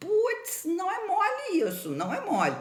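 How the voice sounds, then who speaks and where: Lively intonation marks a woman's speech, with audible room echo and noticeable background noise. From Campos dos Goytacazes, Rio de Janeiro state, Brazil. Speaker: doctor and teacher of facial aesthetics. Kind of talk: informal educational talk to camera. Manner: emphatic.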